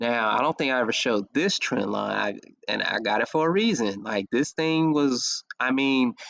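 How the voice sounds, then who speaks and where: Recorded dry and close with no echo, a man talks at a moderate pace with very even loudness. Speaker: forex trading analyst. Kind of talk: screen-share trading analysis. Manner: casual.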